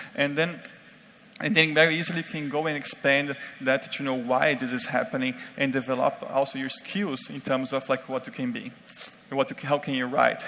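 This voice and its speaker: A man with a non-native accent speaks in a fairly high pitch and a fairly even intonation, with noticeable background noise. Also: moderate pace. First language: not English. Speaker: conference speaker on UX design. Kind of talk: conference talk. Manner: halting, many fillers.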